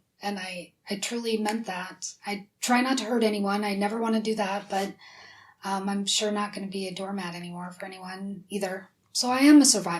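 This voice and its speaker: A woman of medium pitch sounds somewhat breathy and talks at a moderate pace. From US Midwest, South Dakota. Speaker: whistleblower, former university dean. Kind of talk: interview. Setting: studio.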